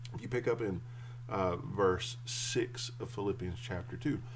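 Over light background noise, a man's pitch varies in an ordinary way. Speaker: church teacher or pastor. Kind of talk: sermon. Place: home room. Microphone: webcam.

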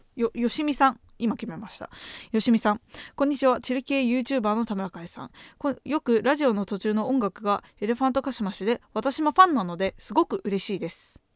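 A woman talks at a fairly quick pace with lively intonation and big swings in loudness. The sound is dry with no echo, and the background is quiet. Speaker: graduate student and podcaster; podcaster. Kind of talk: casual chat. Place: home room. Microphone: studio mic.

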